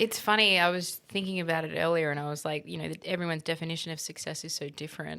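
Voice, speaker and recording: A woman with an Australian accent speaks at a very fast pace with hardly any pauses, in a bright, sharp tone at a fairly low pitch and with fairly even intonation. The recording is very clean, with a silent background. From Middle East (Kuwait, Egypt, Saudi Arabia), then Australia. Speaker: interior designer. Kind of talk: interview conversation.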